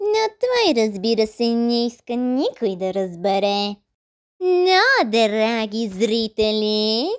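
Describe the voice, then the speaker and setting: A fairly high, female-sounding voice performs a cartoonish character in a theatrical tone. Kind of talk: comic overacting. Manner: mocking, theatrical.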